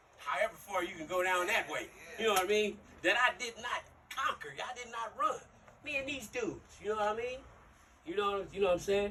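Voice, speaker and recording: A man with a raised, projected voice talks at a fairly quick pace and a high pitch with lively intonation. He leaves long, frequent pauses over noticeable background noise. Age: 60s. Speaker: youth mentor, former gang member. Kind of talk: motivational talk to youth.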